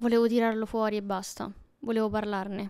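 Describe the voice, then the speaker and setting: A woman speaks at a moderate pace in a fairly high pitch, her intonation monotone and flat against a quiet background. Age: 20s. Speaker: YouTuber. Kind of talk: casual personal storytelling monologue. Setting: at home alone. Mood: intimate, reflective, somewhat emotional. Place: home room. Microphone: handheld.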